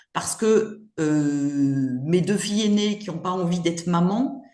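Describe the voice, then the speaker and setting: A woman speaks at a very slow pace and medium pitch with ordinary pitch variation. Audible room echo surrounds her. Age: 60s. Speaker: grandmother, retired mother of five. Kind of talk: casual interview chat. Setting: podcast interview. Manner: hesitant, many fillers.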